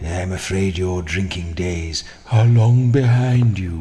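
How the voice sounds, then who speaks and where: A man puts on a character voice, very deep and low in pitch, at a fairly slow pace. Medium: video game. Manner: dry, wry.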